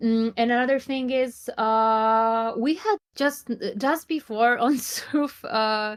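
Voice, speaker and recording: At a very slow pace, a woman speaks in a high pitch with ordinary pitch variation and very even loudness. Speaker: psychotherapist in training. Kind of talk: live online session talk. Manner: halting.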